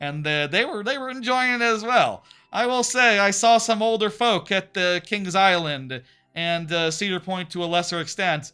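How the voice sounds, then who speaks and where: In a raised, projected voice, a man with an American accent speaks at a high pitch with a bright, sharp tone and lively intonation. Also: moderate pace, very clean recording, silent background. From Texas. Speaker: streamer. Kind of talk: casual chat. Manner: animated; halting.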